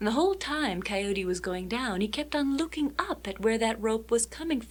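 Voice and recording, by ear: The passage is read aloud in a natural voice whose intonation is lively.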